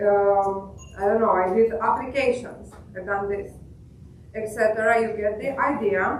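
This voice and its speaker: A woman talks in a monotone, flat way. Audible room echo and noticeable background noise surround her. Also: fairly slow pace. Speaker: software engineer. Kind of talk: product demo. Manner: halting, many fillers.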